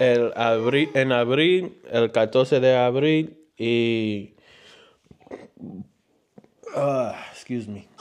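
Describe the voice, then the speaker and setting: A man's medium-pitched voice with ordinary pitch variation, very slow pace, and long, frequent pauses. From New York. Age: 20s. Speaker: family vlogger. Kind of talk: casual chat. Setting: livestream at home. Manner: halting.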